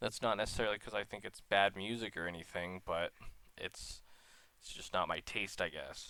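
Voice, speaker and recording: A man speaks in a bright, sharp tone at a fairly low pitch. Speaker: YouTuber, college student. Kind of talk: personal vlog monologue. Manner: halting, stuttering.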